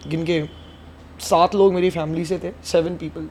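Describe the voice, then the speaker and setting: With fairly even intonation, this man talks at a high pitch. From Madhya Pradesh, India (Vidisha). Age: 20s. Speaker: singer. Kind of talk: casual chat.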